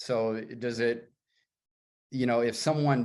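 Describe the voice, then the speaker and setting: A man with an unremarkable speaking voice talks at a medium pitch and a fairly slow pace. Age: 60s. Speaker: sauna builder and writer. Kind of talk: casual chat.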